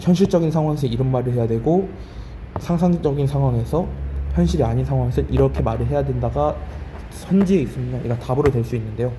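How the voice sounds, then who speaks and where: A man delivers his words at a fairly quick pace while audible room echo and noticeable background noise fill the space. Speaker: Korean college entrance English teacher. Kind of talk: lecture. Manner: speeding up.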